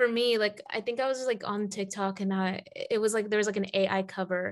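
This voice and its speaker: Here a woman talks in an American accent. Her pitch is fairly high. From US South, Atlanta. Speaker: podcast host. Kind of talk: casual interview. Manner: hesitant, many fillers.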